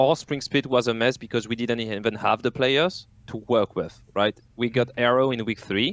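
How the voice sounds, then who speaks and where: A man with a French accent speaks at a moderate pace and medium pitch. His pitch varies in an ordinary way, and the sound is dry and close with no echo. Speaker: esports team coach. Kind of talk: casual podcast chat.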